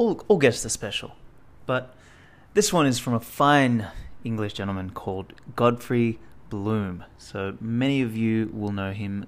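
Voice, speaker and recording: A man talks in a plain, everyday voice at medium pitch. His pace is fairly slow, with ordinary pitch variation. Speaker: podcast host. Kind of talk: spoken podcast intro.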